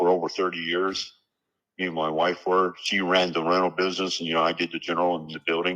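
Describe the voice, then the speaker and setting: Against a quiet background, a man with a very deep, low voice talks very fast in a bright, sharp tone. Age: 70s. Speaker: property seller. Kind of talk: phone call negotiation.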